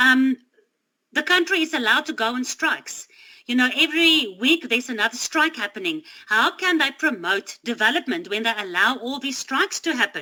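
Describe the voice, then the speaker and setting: A woman's raised, projected voice, high-pitched and bright and sharp in tone, with very wide pitch swings. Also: moderate pace. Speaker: Bible study teacher. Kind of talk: Bible study talk.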